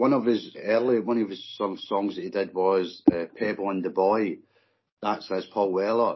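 The speaker talks at a moderate pace with a Scottish accent. The intonation stays fairly even. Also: man, fairly low pitch for a man. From Scotland. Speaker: guest, mod and northern soul fan. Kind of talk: casual chat.

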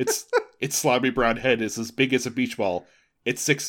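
A passage is read aloud in a natural voice. Nothing much can be heard behind it.

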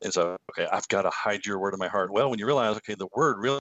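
Very fast speech in a Kentucky accent. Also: man. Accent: Kentucky Southern US. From Kentucky, US. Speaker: former pastor and author. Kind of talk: casual interview conversation. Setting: video call.

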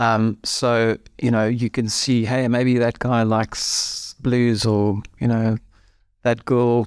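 Dry and close with no echo, on a very clean recording with a silent background, a man with a South African accent speaks at medium pitch in a monotone, flat intonation. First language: Afrikaans. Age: 50s. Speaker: former musician turned financial planner. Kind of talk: interview.

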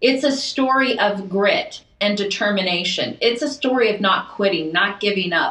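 A woman's medium-pitched voice, lively in intonation and fairly slow in pace, against noticeable background noise. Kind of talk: casual chat.

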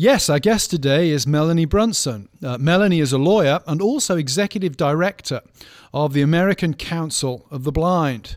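With lively intonation and a fairly high pitch, a man talks at a moderate pace in a very clean recording with a silent background. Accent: British. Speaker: professor of church history and pastor. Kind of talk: casual chat.

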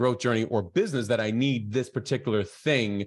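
A man at a very fast pace, with ordinary pitch variation, against a quiet background. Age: 40s. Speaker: podcast host and coach. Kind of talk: casual interview.

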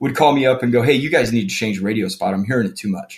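Medium-pitched man with ordinary pitch variation and a plain, everyday voice. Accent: American. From Phoenix, Arizona. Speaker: business owner in the plumbing trade. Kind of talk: interview conversation.

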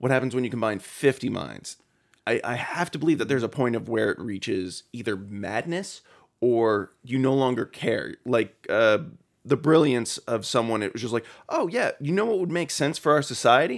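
On a very clean recording with a silent background, a man with a plain, everyday voice speaks at a medium pitch and moderate pace with lively intonation. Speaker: podcast co-host. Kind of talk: casual worldbuilding chat.

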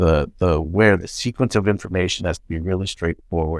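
With a Canadian accent, a man speaks at a moderate pace in a very deep, low voice with fairly even intonation, in a very clean recording with a silent background. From Canada. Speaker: novelist. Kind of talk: interview. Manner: halting.

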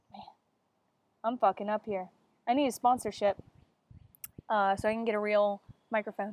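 A woman's fairly high, animated voice at a fairly quick pace, with big swings in loudness, long and frequent pauses, and a dry, close sound with no echo. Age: 20s. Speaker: podcast host. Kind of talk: casual chat. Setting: outdoors.

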